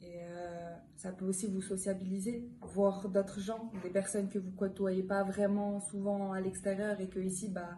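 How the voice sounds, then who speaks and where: Against noticeable background noise, a woman speaks at a fairly slow pace in a monotone, flat intonation, with hardly any pauses. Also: medium pitch for a woman. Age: young. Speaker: EPIDE volunteer. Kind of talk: interview answer.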